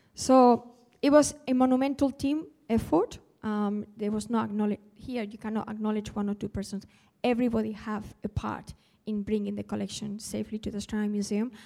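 A woman speaks in a fairly high voice. Her tone is dark and mellow. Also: fairly even intonation. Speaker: museum collections officer and project manager. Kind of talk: panel talk. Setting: live talk with audience.

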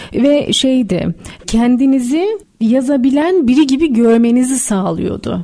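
A woman talks very slowly in a high pitch, her intonation lively. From Istanbul, Turkey. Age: 30s. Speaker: writer. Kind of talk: radio interview. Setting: radio studio.

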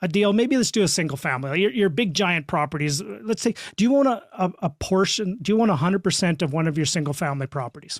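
Spoken at a fairly quick pace with a western Canadian accent, the voice makes very wide pitch swings on a very clean recording with a silent background. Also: man. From Saskatchewan, Canada. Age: 50s. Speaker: real estate investor and coach. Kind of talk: podcast interview.

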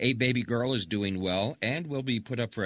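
Against a quiet background, a plain, everyday voice moves at a fairly quick pace with lively intonation. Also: man. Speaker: radio newsreader. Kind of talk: news reading. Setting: studio.

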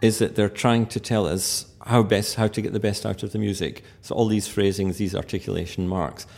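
With a Scottish accent, a man talks at a moderate pace and a fairly low pitch, his intonation fairly even and hardly any pauses between words. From Scotland. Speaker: pianist and musicologist. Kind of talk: interview.

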